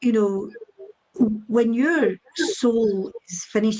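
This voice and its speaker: Somewhat breathy and dark, mellow in tone, a woman talks in a Scottish accent. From Scotland. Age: 60s. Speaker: psychic medium. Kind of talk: interview on a chat show. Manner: hesitant, with many fillers and repeats.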